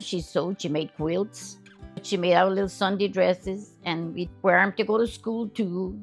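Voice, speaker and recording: Fairly low-pitched woman with an American accent, moderate pace and ordinary pitch variation, music in the background. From Central Louisiana. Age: 80s+. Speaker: elder interviewee. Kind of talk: interview answer.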